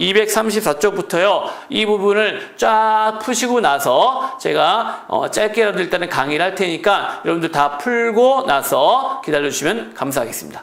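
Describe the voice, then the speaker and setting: Using a put-on character voice, a hoarse man speaks at a high pitch and moderate pace with lively intonation over light background noise. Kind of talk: lecture, teaching.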